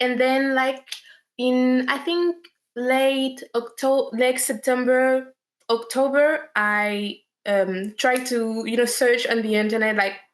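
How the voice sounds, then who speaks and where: A woman speaks very slowly with a French accent, her loudness very even. Her pitch is high and her intonation fairly even. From France. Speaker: actress. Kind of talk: interview.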